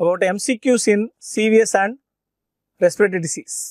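Man speaking at a fairly slow pace, dry sound with no echo, quiet background. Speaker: medical teacher. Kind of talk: lecture.

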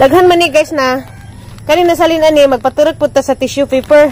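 A woman's voice, dry with no echo, over light background noise. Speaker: home vlogger. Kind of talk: casual vlog chat. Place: garden. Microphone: phone near.

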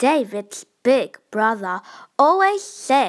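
A woman speaks slowly at a fairly high pitch. Her pitch swings a lot.

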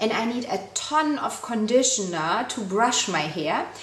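Fairly slow pace with audible room echo. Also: woman. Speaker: beauty vlogger. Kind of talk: casual product review chat. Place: home room. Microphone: camera far.

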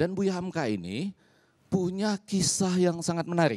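The tone is dark and mellow, and the background is quiet. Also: man. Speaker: communication professor. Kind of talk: talk show panel discussion. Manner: formal. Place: studio. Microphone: handheld.

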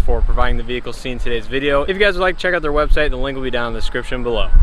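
A man is speaking against noticeable background noise. The sound is dry, with no echo. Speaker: car reviewer. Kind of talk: walkaround tour commentary. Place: open country. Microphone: phone near.

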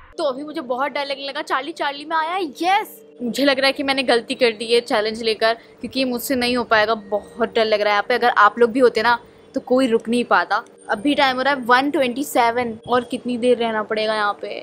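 Over music in the background, a woman with a high pitch speaks at a moderate pace with ordinary pitch variation. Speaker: vlogger. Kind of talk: casual vlog chat. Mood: scared, tense. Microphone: phone near.

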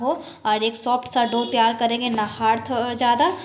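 Over light background noise, a woman speaks at a fairly slow pace in a high pitch. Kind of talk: tutorial. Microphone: phone near.

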